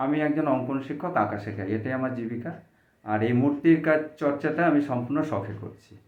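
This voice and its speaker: A man uses a normal speaking voice at medium pitch, with ordinary pitch variation. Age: 50s. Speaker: drawing teacher and miniature artist. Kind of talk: interview.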